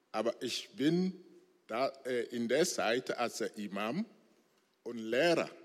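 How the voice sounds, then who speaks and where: The speaker has a non-native accent and talks at a very slow pace. The recording is very clean, with a silent background. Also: man. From Togo. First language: not German (speaking German). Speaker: former imam, church member. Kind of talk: church interview testimony. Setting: church stage with congregation. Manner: halting, broken German.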